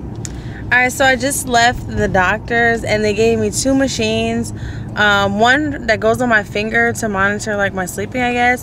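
At a moderate pace, a woman speaks in a dry recording with no echo and light background noise. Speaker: vlogger. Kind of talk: casual vlog chat.

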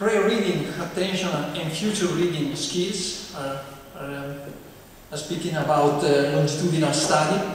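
Strong room echo and light background noise surround a man speaking at a fairly high pitch, fairly slowly, with ordinary pitch variation. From Italy. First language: Italian. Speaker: professor. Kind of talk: lecture. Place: hall.

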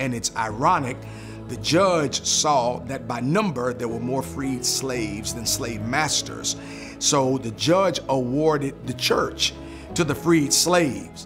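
A man speaks at a very slow pace. Clear music plays in the background. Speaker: church lead pastor. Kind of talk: interview answer. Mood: warm, proud storytelling. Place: church.

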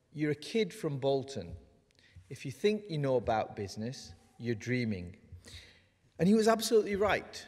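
With very wide pitch swings, a man speaks at a moderate pace. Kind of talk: ceremonial speech. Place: hall. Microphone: podium.

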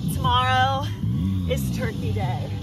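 A woman speaking at a very slow pace over loud music in the background. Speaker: fitness instructor. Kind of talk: workout class cueing. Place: open country.

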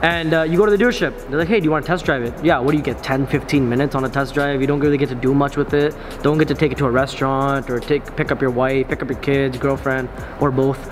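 A man talks at a very fast pace with fairly even intonation. Music plays in the background. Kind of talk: casual vlog chat. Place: garage.

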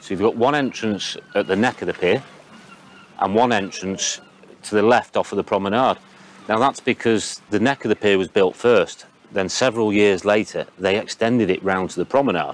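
An unremarkable speaking voice from a man, fairly low in pitch with ordinary variation, at a moderate pace in a dry sound with no echo. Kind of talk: interview answer. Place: waterside. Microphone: lapel.

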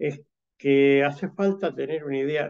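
Here a man speaks at a fairly high pitch. His pace is very slow. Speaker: automation industry executive. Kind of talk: panel discussion. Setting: video call.

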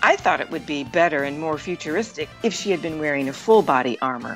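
Over music in the background, a woman with a very deep, low pitch talks very fast with lively intonation. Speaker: voice actor. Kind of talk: documentary narration.

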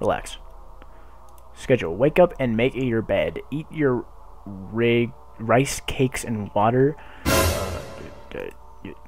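A man at a very slow pace, with long, frequent pauses, big swings in loudness and music in the background. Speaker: gamer. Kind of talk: gaming commentary. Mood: frustrated, swearing. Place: home room. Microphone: headset.

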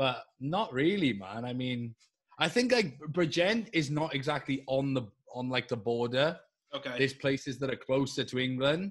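A man with a somewhat breathy voice talks against a quiet background. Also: ordinary pitch variation, moderate pace. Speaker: podcast co-host. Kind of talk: casual conversation. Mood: relaxed, joking. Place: home room. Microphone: video call.

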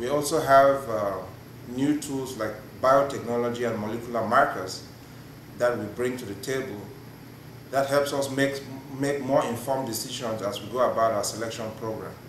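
Long, frequent pauses break up fairly even intonation, with audible room echo and light background noise. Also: man, moderate pace. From Cameroon. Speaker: plant breeder. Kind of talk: casual chat. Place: meeting room.

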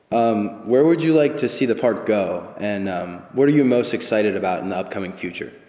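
Speaking at a fairly quick pace with hardly any pauses, a man with a medium pitch uses lively intonation over noticeable background noise. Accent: American. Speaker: former high school football player. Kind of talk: interview.

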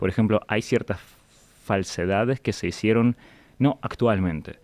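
Fairly low male voice, its pitch varying in an ordinary way. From Russia, St Petersburg; Russia. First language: Russian (speaking Spanish). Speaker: historian; guest. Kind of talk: interview. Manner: halting. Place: studio. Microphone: studio mic.

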